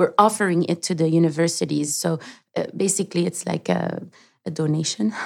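A woman's fairly low voice with vocal fry, at a fairly quick pace with ordinary pitch variation. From Lebanon, raised partly in Canada. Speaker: sustainability advocate and founder. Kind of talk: interview.

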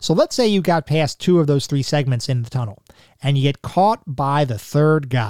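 Captured in a very clean recording with a silent background, a man talks at a moderate pace, the sound dry and close with no echo. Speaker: podcast host. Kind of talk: solo podcast monologue.

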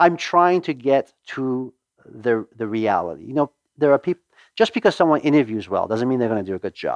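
Against a quiet background, a man talks at a moderate pace with very wide pitch swings and a dry, close sound with no echo. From Iran, raised in Los Angeles suburb from age 11. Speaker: restaurant company CEO. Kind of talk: interview. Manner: repetitive false starts.

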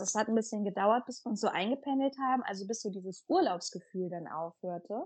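An ordinary speaking voice goes at a fairly quick pace with ordinary pitch variation. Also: woman. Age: 30s. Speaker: mother of three, community member. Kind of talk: interview.

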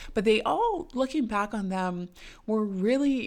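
In a very clean recording with a silent background, a woman with a plain, everyday voice talks at a moderate pace with ordinary pitch variation. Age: 20s. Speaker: podcast host. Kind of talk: solo podcast monologue.

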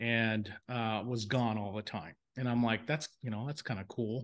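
A man with a plain, everyday voice, medium pitch, moderate pace and fairly even intonation, against a quiet background. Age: 50s. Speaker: home inspection business owner and software founder. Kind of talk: casual chat. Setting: remote recording.

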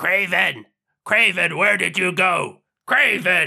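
A man speaks in a raspy, put-on character voice. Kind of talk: amateur comic character voice. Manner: loud, blustering, tough.

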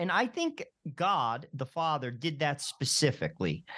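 With an American accent, a man speaks at a fairly high pitch. His pitch swings very widely. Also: quiet background. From New Jersey. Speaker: radio host. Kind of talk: radio interview.

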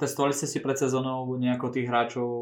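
This man talks at a very fast pace in a medium pitch. His intonation stays monotone and flat. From southern Slovakia, Rimavská Sobota area. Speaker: podcast host, physiotherapist. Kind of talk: casual interview.

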